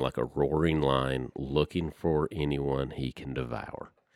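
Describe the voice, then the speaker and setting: The delivery comes at a fairly slow pace. The speaker has a Southern US accent. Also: man. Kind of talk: casual chat, faith discussion.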